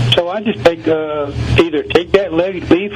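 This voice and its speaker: Against noticeable background noise, a man with an American accent talks at a moderate pace with ordinary pitch variation. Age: 70s. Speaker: gardener. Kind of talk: radio interview.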